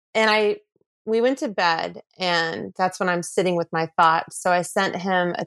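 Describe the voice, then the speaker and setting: A woman with an unremarkable speaking voice and medium pitch speaks at a fairly slow pace with ordinary pitch variation, in a dry, close sound with no echo and a quiet background. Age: 40s. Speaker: podcast guest telling her dating story. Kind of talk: personal storytelling.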